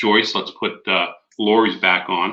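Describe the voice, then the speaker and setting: The man speaks loudly with an American accent. His tone is bright and sharp. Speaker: conference host. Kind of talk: conference presentation.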